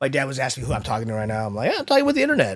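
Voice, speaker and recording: A man's voice has vocal fry. His pitch swings very widely. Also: very clean recording, silent background. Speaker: streamer. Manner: casual, rambling.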